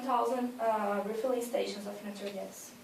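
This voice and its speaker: There is audible room echo and noticeable background noise around the woman speaking. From Brazil, São Paulo state. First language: Portuguese. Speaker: university student. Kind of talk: class presentation. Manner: halting, with frequent fillers.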